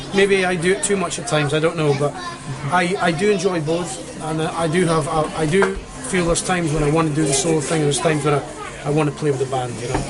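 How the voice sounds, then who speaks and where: A man with a Scottish accent, very fast pace, fairly high pitch and ordinary pitch variation, with audible room echo and music in the background. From northeast Scotland. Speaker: singer-songwriter. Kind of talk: interview. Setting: pub.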